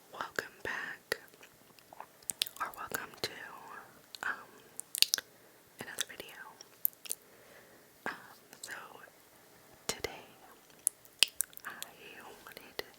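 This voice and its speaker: Whispering at a fairly slow pace, a woman leaves long, frequent pauses while noticeable background noise sits underneath. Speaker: ASMR creator. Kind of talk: casual ASMR intro to camera. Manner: whispered.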